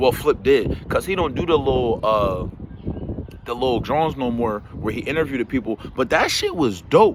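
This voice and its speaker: Animated and lively in intonation, a man speaks at a moderate pace over noticeable background noise. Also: medium pitch for a man. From South Jersey, US. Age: 40s. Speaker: podcast commentator. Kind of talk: casual commentary vlog. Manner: casual, profane, animated.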